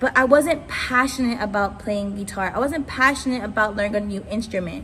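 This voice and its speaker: A woman's fairly high voice at a fairly quick pace, with ordinary pitch variation and audible room echo. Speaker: youth ministry speaker. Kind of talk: sermon. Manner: naturally very fast talker.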